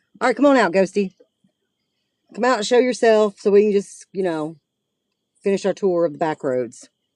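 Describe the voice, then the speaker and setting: A woman's medium-pitched voice at a moderate pace, with lively intonation, long, frequent pauses and a dry, close sound with no echo. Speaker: paranormal livestreamer. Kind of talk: live stream chat while driving. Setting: in a car.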